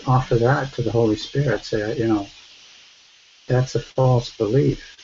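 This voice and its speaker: A soft-spoken man talks at a moderate pace in a medium pitch. His intonation stays fairly even. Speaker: study group participant. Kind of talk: spiritual sharing in online group.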